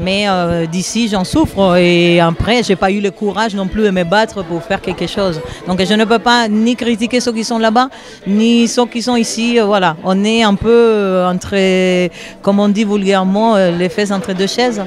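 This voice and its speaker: Crowd noise fills the background. A woman of medium pitch speaks with fairly even intonation. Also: fairly slow pace. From Cuba. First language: Spanish (speaking French). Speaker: percussionist and singer. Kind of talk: interview. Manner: hesitant, many fillers.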